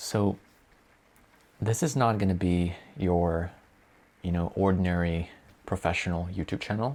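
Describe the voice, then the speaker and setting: Pausing long and often, a man speaks fairly slowly in a very deep, low pitch with ordinary pitch variation. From Italy. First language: Italian. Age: 20s. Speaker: vlogger. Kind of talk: casual vlog self-introduction. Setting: bedroom. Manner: hesitant, with fillers and self-corrections.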